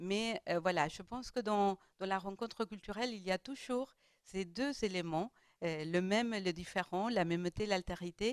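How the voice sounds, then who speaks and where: A woman with a non-native accent speaks at a fairly slow pace with ordinary pitch variation, on a very clean recording with a silent background and a dry, close sound with no echo. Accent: foreign accent in French. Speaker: round table panelist. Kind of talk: panel discussion. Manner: halting, many hesitations.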